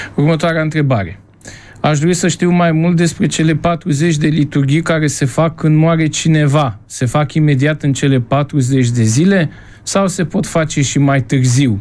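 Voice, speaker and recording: A man with a normal speaking voice and a fairly high pitch speaks at a fairly slow pace, with ordinary pitch variation and very even loudness. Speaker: priest and radio host. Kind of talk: radio call-in show hosting. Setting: radio studio.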